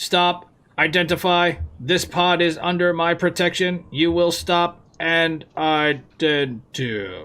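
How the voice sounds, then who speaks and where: In a robotic put-on character voice, a man speaks at a fairly slow pace with a high pitch. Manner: commanding, authoritative.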